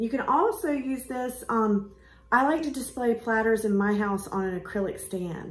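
With an American accent, a woman talks at a moderate pace and ordinary pitch variation. Her voice is somewhat breathy, and audible room echo surrounds it. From US South. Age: 40s. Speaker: art gallery owner. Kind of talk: casual talk to camera. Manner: hesitant, many fillers. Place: shop. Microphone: phone near.

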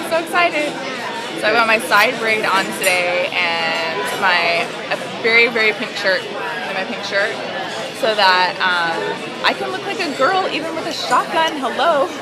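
Loud music plays in the background. Over it, a woman speaks at a fairly slow pace. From San Diego, California. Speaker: mother. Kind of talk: casual vlog talk to camera. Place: cafe. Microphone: phone near.

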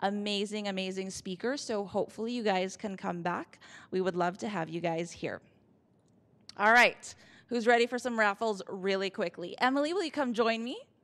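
A woman speaks at a moderate pace. Her pitch variation is ordinary. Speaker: event organizer; event host. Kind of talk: event introduction. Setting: stage with audience. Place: hall. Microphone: handheld.

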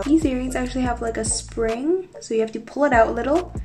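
As a woman talks, clear music can be heard behind her. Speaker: beauty vlogger. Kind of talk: casual vlog tutorial. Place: home room. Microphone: phone near.

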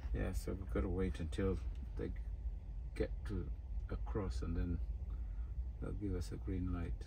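A very deep, low male voice with a dark, mellow tone, vocal fry and very wide pitch swings, at a moderate pace over noticeable background noise. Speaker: truck driver vlogger. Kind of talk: casual vlog chat. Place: car. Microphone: phone near.

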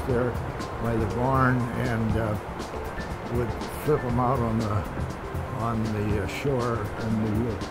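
A man with an American accent at a very slow pace, long, frequent pauses and loud background noise. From Methow Valley, Washington, USA. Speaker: retired local resident. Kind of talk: interview answer. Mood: calm, nostalgic. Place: waterside.

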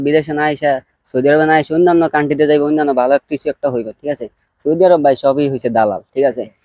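A man's fairly high voice with a dark, mellow tone and fairly even intonation, in a dry, close sound with no echo. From Bangladesh. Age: 20s. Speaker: migrant restaurant worker. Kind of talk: interview.

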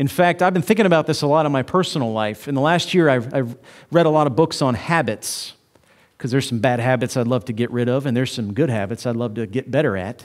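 Behind this man the background stays quiet. He delivers his words fairly quickly. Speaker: preacher. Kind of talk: sermon. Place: church. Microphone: headset.

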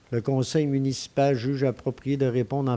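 Through loud background noise, a man speaks at a moderate pace. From Quebec. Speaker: mayor chairing a town council meeting. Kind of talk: council meeting chairing. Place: hall. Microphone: podium.

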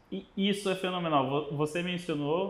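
The speaker is a man talking at a fairly slow pace. His pitch variation is ordinary. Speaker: podcast host. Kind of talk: casual interview. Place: studio. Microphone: lapel.

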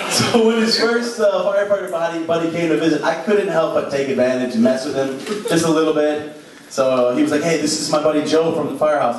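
Talking at a very fast pace with lively intonation, a man with an American accent and a fairly high pitch is heard through audible room echo and noticeable background noise. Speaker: stand-up comedian. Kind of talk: stand-up comedy set. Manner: casual, conversational, joking. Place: stage.

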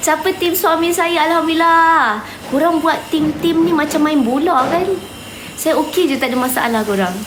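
Extremely high-pitched, a woman talks at a moderate pace with ordinary pitch variation and very even loudness. Audible room echo and noticeable background noise fill the recording. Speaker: online seller and live streamer. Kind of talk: live stream address to viewers.

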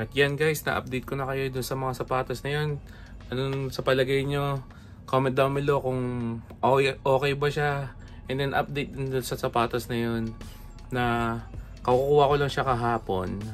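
A man's flat, monotone voice with long, frequent pauses over light background noise. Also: moderate pace. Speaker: sneaker vlogger. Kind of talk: casual vlog chat. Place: home room. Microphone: phone near.

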